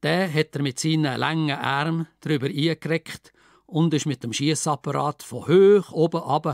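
A man talks at a fairly slow pace with a Lucerne accent. The sound is dry and close with no echo, on a very clean recording with a silent background. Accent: Entlebuch Swiss German dialect. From Schwyz, Switzerland. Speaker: author and retired secondary teacher. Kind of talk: dialect story reading.

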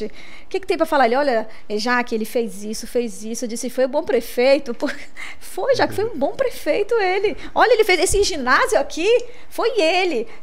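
Her high pitch making very wide swings, a woman talks at a moderate pace. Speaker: podcast co-host. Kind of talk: podcast host talk. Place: studio. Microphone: studio mic.

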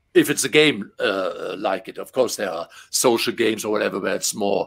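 A man speaks with a German accent at a moderate pace. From Germany. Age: 50s. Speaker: game translator. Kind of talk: casual interview. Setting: video call. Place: home room.

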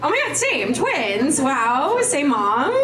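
Noticeable background noise beneath a woman's high-pitched voice. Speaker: comedian. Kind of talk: stand-up comedy set, bantering with crowd and riffing on dating, parents and drinking. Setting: live stage with audience. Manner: conversational, sarcastic, crowd-engaging. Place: stage.

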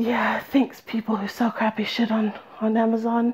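A woman speaks at a fairly high pitch and a moderate pace against a quiet background. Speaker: crafting vlogger. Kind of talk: casual vlog. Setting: home studio, phone recording. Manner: loud. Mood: self-deprecating, chatty. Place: home room. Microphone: phone-call headset mic; headset.

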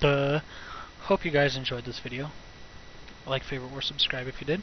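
There is noticeable background noise as this man talks with a fairly high pitch. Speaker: gaming video creator. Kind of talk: let's play commentary.

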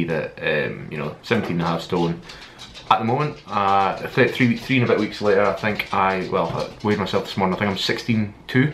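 Over light background noise, a man with a Scottish accent talks fairly quickly at a fairly low pitch, with ordinary pitch variation. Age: 20s. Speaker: fitness vlogger. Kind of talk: vlog monologue. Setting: filming alone to camera. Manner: halting, many fillers. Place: home room. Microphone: webcam.

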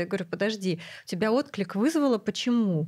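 A woman speaks at a very fast pace in a somewhat breathy voice. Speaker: podcast host and clinic founder; podcast host. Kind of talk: casual chat. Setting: studio. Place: studio. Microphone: studio mic.

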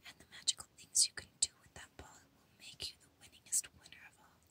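The voice is whispering. It moves at a moderate pace. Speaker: ASMR creator. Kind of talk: whispered book reading for ASMR. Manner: whispered, soft.

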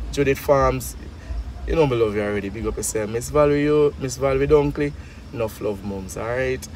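A man talking at a fairly quick pace with very wide pitch swings, in a dry sound with no echo and light background noise. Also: medium pitch for a man. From Jamaica. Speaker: charity vlogger; vlogger. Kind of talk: casual vlog chat. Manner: animated. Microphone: phone near.

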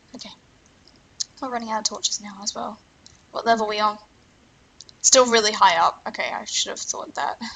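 Quiet and fairly high in pitch, a woman talks at a fairly quick pace with ordinary pitch variation, long, frequent pauses, and big swings in loudness. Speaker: gaming YouTuber. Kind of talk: let's play commentary.

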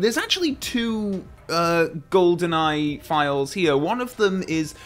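Faint music plays behind a man who speaks fairly slowly at a high pitch with ordinary pitch variation. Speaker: film reviewer. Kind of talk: casual vlog chat. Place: home room. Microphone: studio mic.

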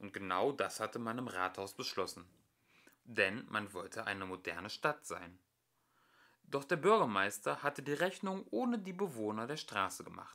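A man's fairly low, bright and sharp voice, fairly slow, with lively intonation, on a very clean recording with a silent background

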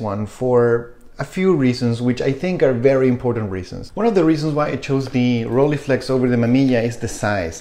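With a Spanish accent, a man speaks at a fairly quick pace with ordinary pitch variation and hardly any pauses. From Chile. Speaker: photography YouTuber. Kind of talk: casual vlog talk to camera. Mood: reflective, relaxed. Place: kitchen.

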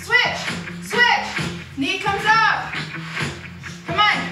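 Faint music plays behind the speech. The speaker is a woman. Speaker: fitness instructor. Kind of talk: workout class cueing. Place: empty room.

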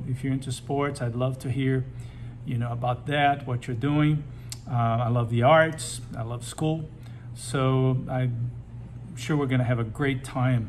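A man's medium-pitched, monotone voice with flat intonation at a very slow pace, over light background noise. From Brazil. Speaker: high school teacher and advisor. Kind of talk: welcome message to students. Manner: casual with many fillers. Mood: warm, encouraging. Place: office. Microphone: phone near.

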